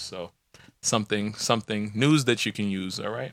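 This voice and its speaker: In a very clean recording with a silent background, a man speaks in a normal speaking voice at a fairly low pitch. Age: 30s. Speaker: podcast co-host. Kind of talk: casual chat.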